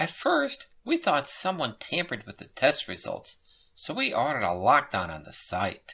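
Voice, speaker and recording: A put-on character voice at a moderate pace. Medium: read story. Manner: nervous, urgent.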